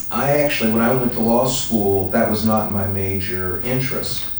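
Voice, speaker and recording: A man's fairly low voice at a fairly slow pace, fairly even in intonation, with audible room echo. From US, left South Carolina at 3, raised elsewhere. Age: 50s. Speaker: law professor. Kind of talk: interview answering student questions. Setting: meeting with school students in France.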